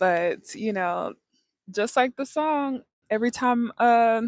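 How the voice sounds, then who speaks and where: Recorded dry and close with no echo, a woman speaks in a high pitch. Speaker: lifestyle livestreamer. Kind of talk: casual livestream talk.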